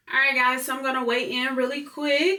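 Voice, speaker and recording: Amid noticeable background noise and audible room echo, a woman speaks in an animated tone. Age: 20s. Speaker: vlogger. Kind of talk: casual vlog.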